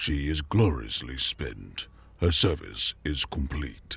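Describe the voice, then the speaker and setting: A man's put-on character voice, very deep and low in pitch, rumbling. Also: fairly slow pace. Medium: read story. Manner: emotionless, disdainful.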